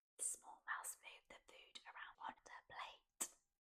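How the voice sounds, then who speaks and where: A woman whispers at a very slow pace in a soothing tone. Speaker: ASMR storyteller. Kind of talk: ASMR bedtime story read-aloud. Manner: soft-spoken, whispered, soothing.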